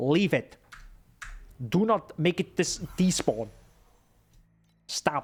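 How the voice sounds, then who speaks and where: Speaking at a very slow pace with a non-native accent, the voice has lively intonation. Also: man. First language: not English. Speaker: game streamer. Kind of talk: live gameplay commentary. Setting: live stream. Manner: animated.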